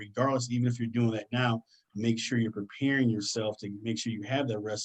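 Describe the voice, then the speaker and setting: A man with an American accent talks at a very fast pace and medium pitch. His tone is excited. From US Midwest, Detroit, Michigan; Michigan. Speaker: career guest speaker; speaker. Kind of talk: presentation to students. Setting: online video session. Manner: fast, excited delivery. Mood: earnest, encouraging. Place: home room. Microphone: webcam.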